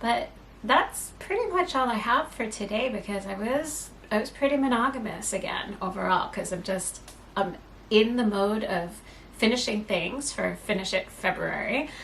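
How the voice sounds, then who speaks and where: A soft-spoken woman talks at a fairly high pitch. There is audible room echo and noticeable background noise. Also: ordinary pitch variation, moderate pace. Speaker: knitting podcaster. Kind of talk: casual chat. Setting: home at night.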